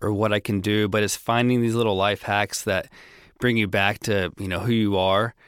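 A man with a fairly low voice and an American accent talks at a moderate pace in a flat monotone, on a very clean recording with a silent background. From US South (Tennessee, Florida). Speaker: men's health charity worker. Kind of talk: interview. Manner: relaxed.

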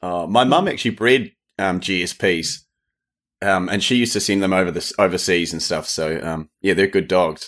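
A man with a New Zealand accent and a very deep, low pitch, at a moderate pace with ordinary pitch variation. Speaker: true crime podcaster, former stunt actor. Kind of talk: casual chat. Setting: remote call.

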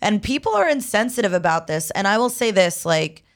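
A woman with an unremarkable speaking voice, medium pitch, lively intonation and a moderate pace, in a very clean recording with a silent background. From Egypt, raised in US from age five. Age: 30s. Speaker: comedian. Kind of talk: casual chat.

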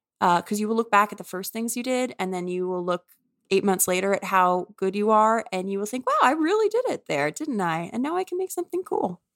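Her voice is fairly high-pitched and unremarkable as a speaking voice, moving at a fairly quick pace with lively intonation. The woman's sound is dry and close, with no echo. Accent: American. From US South, New Orleans. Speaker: author. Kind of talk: interview conversation.

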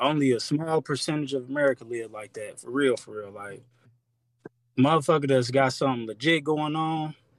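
Recorded very cleanly against a silent background, with a dry, close sound and no echo, a man in a normal speaking voice talks at a fairly quick pace, fairly high in pitch and fairly even in intonation. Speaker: caller. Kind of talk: casual chat.

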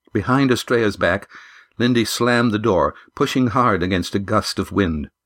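The reading voice sounds natural. Pitch rises and falls by ordinary amounts.

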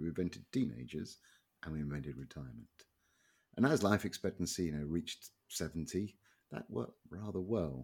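A man with a Southern English accent talks at a fairly quick pace with very wide pitch swings. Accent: English accent, southern England. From England. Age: 50s. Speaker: economist and author. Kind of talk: interview. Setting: remote call. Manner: halting.

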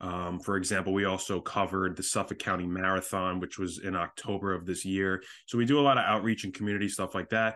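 This man talks at a very fast pace with fairly even intonation. His pitch is fairly low. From US Northeast (Long Island, New York). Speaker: sports physical therapist. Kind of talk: interview conversation.

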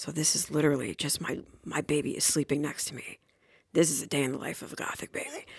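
In a put-on character voice, someone whispers quietly and raspily at a very fast pace. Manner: whispery, ASMR-like.

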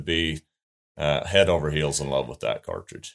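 A man with a western US accent speaks at a moderate pace. The recording is very clean, with a silent background. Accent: rural western US. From southern Utah. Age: 40s. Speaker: hunting writer and rancher. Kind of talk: interview.

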